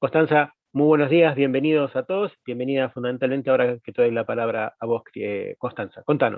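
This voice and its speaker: Hardly any pauses break up this man's fairly quick pace. He has a normal speaking voice of medium pitch with ordinary pitch variation. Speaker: panel moderator. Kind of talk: panel interview.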